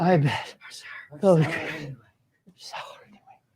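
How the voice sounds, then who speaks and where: Using a put-on character voice, the speaker sounds raspy and weary, talking at a fairly slow pace in a middle pitch. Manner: weary, drained.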